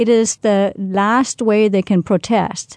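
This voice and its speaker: A woman with a Danish accent has a dark, mellow tone. Behind her, the background stays quiet. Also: dry, close sound with no echo. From Denmark, near Roskilde. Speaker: language and culture expert. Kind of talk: interview.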